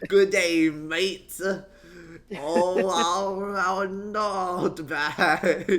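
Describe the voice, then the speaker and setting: A shaky, put-on character voice at middle pitch and very slow pace. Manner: poorly done, shaky.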